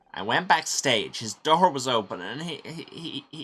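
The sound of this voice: A man does a put-on character voice at a moderate pace, bright and sharp in tone with a slightly husky edge and big pitch swings. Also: medium pitch for a man.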